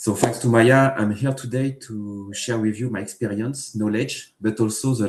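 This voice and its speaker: A voice with fairly even intonation, delivered at a moderate pace. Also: man. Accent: French. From France. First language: French. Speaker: engineering manager. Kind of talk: tech talk interview. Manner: hesitant, many fillers.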